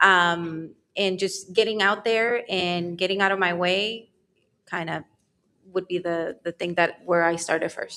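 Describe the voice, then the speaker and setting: A woman speaks at a medium pitch. Her tone is bright and sharp. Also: fairly even intonation, fairly slow pace. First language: not English. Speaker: real estate agent. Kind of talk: panel discussion.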